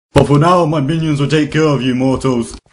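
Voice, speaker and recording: Here a man does a put-on character voice with a fairly high pitch. The pace is fairly quick. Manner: menacing.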